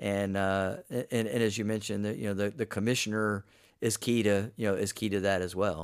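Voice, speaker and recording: The recording is very clean, with a silent background. A man speaks fairly quickly with a fairly low pitch and fairly even intonation. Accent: American. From Florida, Polk County (Winter Haven). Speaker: conservation nonprofit director. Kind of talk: casual interview. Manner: halting, with frequent fillers.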